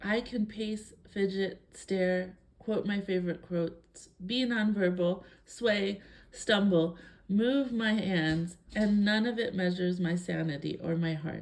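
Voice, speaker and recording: A woman's calm voice at a medium pitch and a very slow pace, with ordinary pitch variation. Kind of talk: reading aloud a personal statement.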